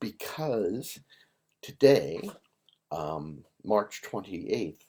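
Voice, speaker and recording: A man's fairly low voice has a dark, mellow tone and ordinary pitch variation. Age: 60s. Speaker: livestream host. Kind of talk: casual chat. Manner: rambling, halting with fillers.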